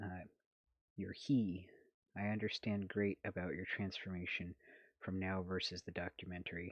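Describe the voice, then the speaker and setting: Soft-spoken and very deep, a man talks at a moderate pace with fairly even intonation, in a dry, close sound with no echo and a quiet background. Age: 30s. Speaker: ex-Jehovah's Witness activist and vlogger. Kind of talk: casual live stream chat reading comments. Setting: late-night live stream at home. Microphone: holding phone very close.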